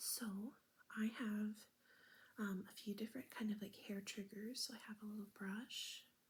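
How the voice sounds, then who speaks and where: Soft-spoken and somewhat breathy, a woman whispers. She goes at a fairly slow pace. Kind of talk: ASMR soft spoken talk to camera with travel stories. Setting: home recording with fridge motor noise in background. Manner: soft-spoken, whispering.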